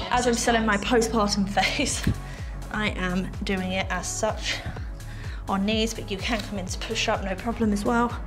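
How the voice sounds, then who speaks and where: With clear music in the background, a woman talks at a moderate pace, leaving long, frequent pauses. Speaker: fitness instructor. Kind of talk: workout instruction.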